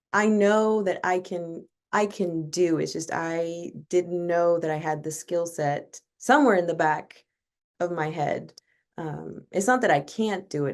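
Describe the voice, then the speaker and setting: With an American accent, a woman speaks at a fairly slow pace in an unremarkable speaking voice, her pitch fairly low with ordinary variation, over a quiet background. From US South, northwest Arkansas. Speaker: college choir director, music educator. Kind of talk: interview conversation.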